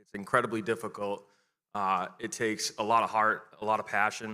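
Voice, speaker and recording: A man is the speaker. He sounds bright and sharp. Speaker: volunteer auctioneer and board member. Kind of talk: charity auction. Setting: gala stage with audience. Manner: fast.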